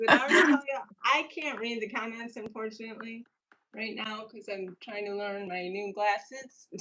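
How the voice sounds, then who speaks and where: A woman's unremarkable speaking voice, fairly high in pitch, at a moderate pace with ordinary pitch variation and big swings in loudness. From upstate New York. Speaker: painter and livestream co-host. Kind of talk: casual chat while painting on a livestream. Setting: livestream with a remote co-host.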